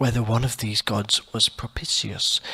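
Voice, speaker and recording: A soft-spoken man at a fairly slow pace and medium pitch. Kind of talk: audiobook short story reading.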